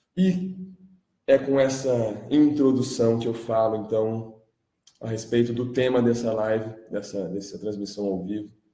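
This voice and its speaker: Audible room echo surrounds a man speaking fairly slowly at medium pitch, with a dark, mellow tone and ordinary pitch variation. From Brazil. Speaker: independent journalist and music producer. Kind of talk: live stream monologue. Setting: live stream.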